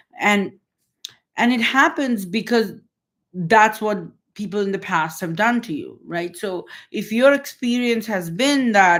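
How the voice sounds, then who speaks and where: A woman speaks at a fairly slow pace with ordinary pitch variation in an unremarkable speaking voice. The recording is very clean, with a silent background. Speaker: holistic healing coach. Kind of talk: live-stream talk. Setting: livestream.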